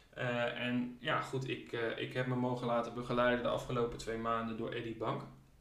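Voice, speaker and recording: A man of medium pitch talks at a fairly quick pace. Noticeable background noise and audible room echo fill the recording. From Friesland, Netherlands (Leeuwarden). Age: 20s. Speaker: professional tennis player. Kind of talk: interview.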